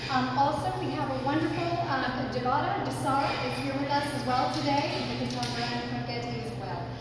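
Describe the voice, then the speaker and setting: A woman speaks at a very fast pace. Loud background noise and audible room echo fill the recording. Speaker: museum staff host. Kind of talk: welcome address at an exhibit preview. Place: hall. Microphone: camera far.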